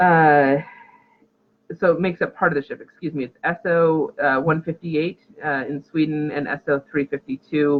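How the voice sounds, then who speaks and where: This man has a fairly high pitch with ordinary pitch variation. He keeps a moderate pace. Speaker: linguistics teacher. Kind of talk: lecture.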